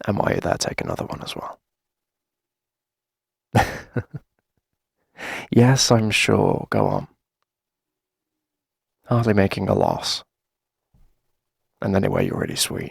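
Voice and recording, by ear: A put-on character voice with very wide pitch swings, vocal fry and a slightly husky edge, slow with long, frequent pauses, in a dry, close sound with no echo. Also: man, low pitch for a man.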